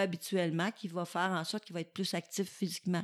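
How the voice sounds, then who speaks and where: A woman's very fast speech in a Quebec accent, monotone and flat at a medium pitch, with a dry, close sound with no echo on a very clean recording with a silent background. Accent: Québécois French. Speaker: physiotherapy professor. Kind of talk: casual interview.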